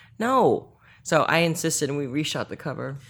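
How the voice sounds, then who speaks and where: A woman speaks at a moderate pace with an American accent, her pitch very deep and low. The recording is very clean, with a silent background. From Northern Virginia, US. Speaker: chef and author. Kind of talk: casual interview chat. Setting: guest's apartment.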